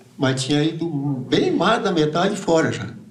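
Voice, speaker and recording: Audible room echo surrounds this fairly slow delivery with ordinary pitch variation. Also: man. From Santa Catarina highlands, Brazil. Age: 80s+. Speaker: pine nut gatherer, traditional farmer. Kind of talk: talk at a seminar. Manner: halting, with repetitions.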